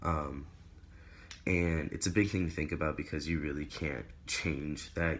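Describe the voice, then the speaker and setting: The speaker talks at a fairly slow pace with vocal fry and ordinary pitch variation. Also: man. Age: 20s. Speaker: video blogger. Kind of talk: casual chat. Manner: hesitant, many fillers.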